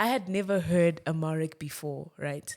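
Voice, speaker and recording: A woman's very deep, low voice with an animated tone and ordinary pitch variation in a Zimbabwean accent, on a very clean recording with a silent background. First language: Shona. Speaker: tech startup founder and CEO. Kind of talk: casual podcast conversation.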